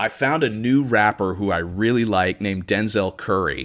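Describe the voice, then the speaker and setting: A plain, everyday voice from a man with an American accent, fairly low pitch, ordinary pitch variation and a fairly slow pace. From US Midwest, Chicago suburbs. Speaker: podcast host and conspiracy researcher. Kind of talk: casual interview conversation.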